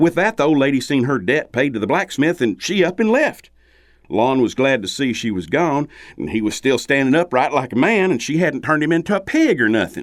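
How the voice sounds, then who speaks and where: A man with a Southern US accent speaks at a fairly quick pace with a fairly high pitch and lively intonation, on a very clean recording with a silent background. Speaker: storyteller. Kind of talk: folktale storytelling.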